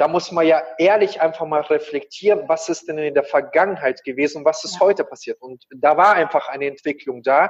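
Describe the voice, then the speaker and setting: A man with a plain, everyday voice, fairly high in pitch, fairly quick in pace, ordinary pitch variation and big swings in loudness. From Kazakhstan, moved to Germany as a child. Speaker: coach and speaker. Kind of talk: interview.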